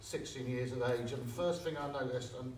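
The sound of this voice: A man with a Liverpool accent, medium pitch, fairly even intonation and a fairly quick pace, with audible room echo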